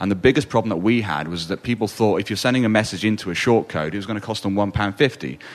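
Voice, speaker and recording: A man speaks at a very fast pace with hardly any pauses. His pitch is fairly low and varies in an ordinary way. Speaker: panelist. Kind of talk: panel discussion. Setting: stage with audience.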